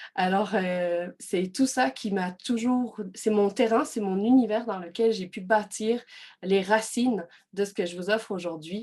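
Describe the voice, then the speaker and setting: In a slight Belgian accent, a woman speaks at a very slow pace with a medium pitch and ordinary pitch variation. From Belgium. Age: 30s. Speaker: personal development coach. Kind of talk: online workshop presentation. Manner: hesitant, many fillers.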